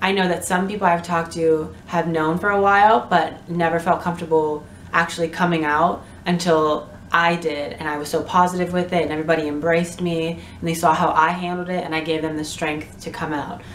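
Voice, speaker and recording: A woman is talking. There is noticeable background noise and audible room echo. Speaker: vlogger. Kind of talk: casual chat. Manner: animated.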